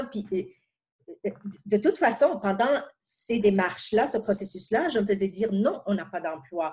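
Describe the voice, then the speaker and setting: Words come at a fairly slow pace in a somewhat breathy voice. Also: woman, medium pitch for a woman. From outside Quebec, francophone immigrant. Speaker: pharmaceutical senior manager. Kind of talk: interview. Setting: podcast. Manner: halting, many repetitions.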